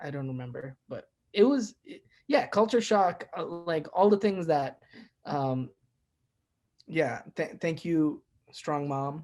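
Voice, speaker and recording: Long, frequent pauses interrupt speech that moves very slowly. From born in Bahrain, raised partly in India, moved to the US at 13. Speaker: singer-songwriter and music teacher. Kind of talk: interview. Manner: casual, hesitant with fillers.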